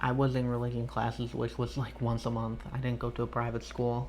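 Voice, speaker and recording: Flat and monotone in intonation, the man speaks fairly quickly. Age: 20s. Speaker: online coach. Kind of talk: testimony. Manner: casual, halting.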